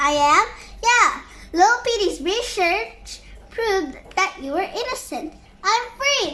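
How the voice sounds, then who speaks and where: A woman puts on a squeaky character voice at an extremely high pitch. She delivers it at a fairly slow pace. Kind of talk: read-aloud character voice. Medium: read story.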